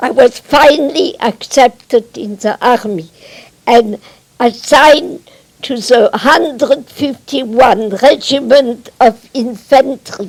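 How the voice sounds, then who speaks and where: A woman with a French accent speaks at a very slow pace and high pitch, with ordinary pitch variation and big swings in loudness. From Metz, France. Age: 80s+. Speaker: Holocaust survivor and former spy. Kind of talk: public talk to an audience.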